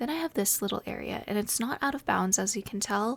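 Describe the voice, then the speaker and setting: A woman whispers softly. Her voice has vocal fry. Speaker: ASMR gaming content creator. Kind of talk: casual talk to camera, gameplay tour. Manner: soft-spoken, whispery.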